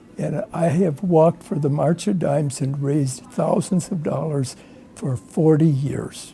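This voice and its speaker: With music in the background, someone speaks fairly slowly in an American accent. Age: 80s+. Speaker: retired businessman. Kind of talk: personal testimony. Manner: halting, many restarts.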